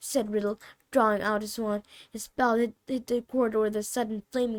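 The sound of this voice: Fairly even intonation from an unforced reading voice, quiet background behind it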